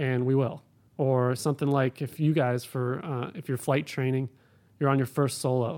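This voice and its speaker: Over a silent background in a very clean recording, a man with an American accent speaks at a moderate pace and medium pitch with monotone, flat intonation. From Ohio, Cleveland. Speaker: air traffic controller. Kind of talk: interview.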